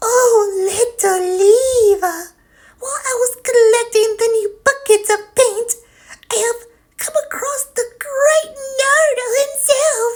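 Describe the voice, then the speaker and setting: A woman uses a put-on character voice, extremely high and squeaky. She talks at a fairly slow pace with long, frequent pauses. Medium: read story. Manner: dreamy, gushing.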